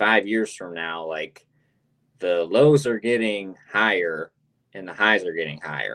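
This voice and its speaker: A man's normal speaking voice, fairly low in pitch, at a fairly slow pace with an American accent. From United States. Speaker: crypto game marketing executive. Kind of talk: interview. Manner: casual, fluent.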